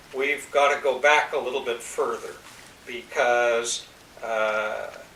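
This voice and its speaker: Noticeable background noise accompanies a man who speaks at a very slow pace. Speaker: interviewer. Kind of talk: interview questions.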